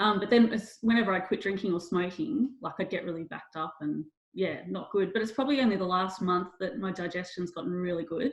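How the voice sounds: A woman's fairly low voice at a fairly quick pace, with ordinary pitch variation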